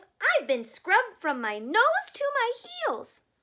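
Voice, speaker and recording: Putting on a squeaky character voice, a woman projects in an extremely high pitch with very wide pitch swings at a fairly slow pace. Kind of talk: bedtime story. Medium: read story.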